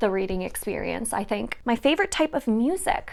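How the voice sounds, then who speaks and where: A woman talks in a plain, everyday voice at a fairly high pitch and moderate pace on a very clean recording with a silent background. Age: 20s. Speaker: book YouTuber. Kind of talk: casual Q&A vlog.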